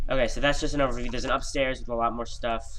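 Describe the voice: Nasal, fast-paced speech with fairly even intonation. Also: man.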